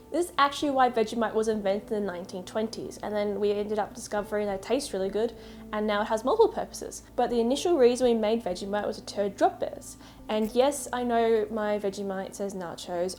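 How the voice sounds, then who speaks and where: Talking at a very fast pace, a woman with a fairly high voice and ordinary pitch variation is heard over noticeable background noise. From Australia, Melbourne. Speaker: comedic explainer video creator. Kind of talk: mock documentary narration.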